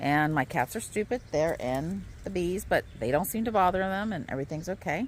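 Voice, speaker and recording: Delivered at a moderate pace, the voice has very wide pitch swings and vocal fry. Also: woman. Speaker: homesteading vlogger. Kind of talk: casual vlog tutorial. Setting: outdoors.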